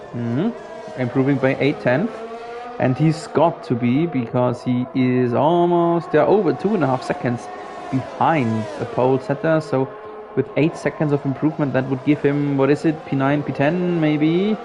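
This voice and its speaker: With a German accent, a man speaks in a fairly high voice with lively intonation and very even loudness, over noticeable background noise. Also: moderate pace. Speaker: sim racing commentator. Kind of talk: live commentary. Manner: animated.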